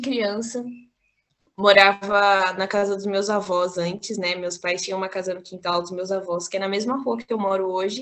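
A woman's ordinary speaking voice, medium in pitch, fairly even in intonation and fairly slow in pace. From Brazil, São Paulo (Capão Redondo). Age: 20s. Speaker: university student and activist. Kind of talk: casual interview.

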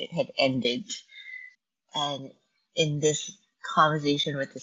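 This woman has a very deep, low pitch. Her pitch variation is ordinary. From Malaysia. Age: 50s. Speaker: dancer and performer. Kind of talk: casual interview. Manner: halting, with many fillers.

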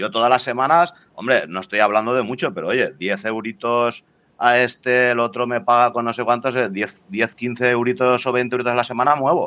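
Bright, sharp tone from a man at medium pitch, moderate pace, ordinary pitch variation. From Spain, Valencia. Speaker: cryptocurrency enthusiast. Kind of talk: casual chat.

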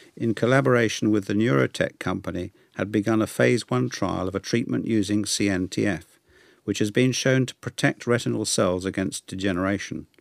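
A man with a fairly low pitch and some vocal fry speaks at a moderate pace with lively intonation. The recording is very clean, with a silent background. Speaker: newsletter reader. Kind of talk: reading aloud. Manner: formal.

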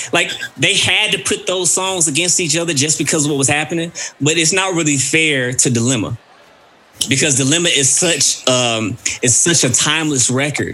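Against noticeable background noise, a man with a Southern US accent talks at a fairly high pitch with ordinary pitch variation. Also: moderate pace, very even loudness. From Mississippi, US South. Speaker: podcast host. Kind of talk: casual chat.

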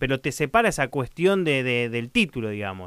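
Very wide pitch swings mark a man's fairly quick speech in a very clean recording with a silent background. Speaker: podcast host. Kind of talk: interview.

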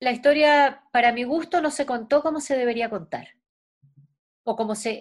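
A woman speaks at a high pitch and a moderate pace. Her speech has long, frequent pauses. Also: ordinary pitch variation. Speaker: actress. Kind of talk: interview.

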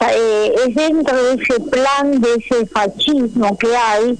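A woman's high voice at a very slow pace, over noticeable background noise. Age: 80s+. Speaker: human rights activist, mother of disappeared. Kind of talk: radio interview.

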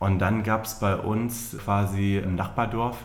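Heard with audible room echo, a man talks at a fairly low pitch with fairly even intonation. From northern Germany, near Hannover. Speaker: magician. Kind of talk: casual interview. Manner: hesitant, many fillers.

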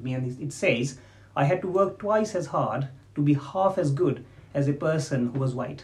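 A man's somewhat breathy voice at a fairly high pitch, with ordinary pitch variation. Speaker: diabetes consultant doctor. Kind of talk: casual interview.

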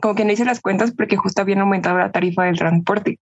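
In a Mexican accent, a woman talks at a medium pitch with fairly even intonation. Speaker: podcast guest. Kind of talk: casual chat.

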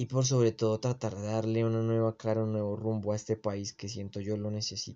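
A man with a fairly low pitch delivers his words in a monotone, flat intonation at a fairly quick pace with hardly any pauses. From Colombia. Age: 20s. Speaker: podcast host. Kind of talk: casual monologue.

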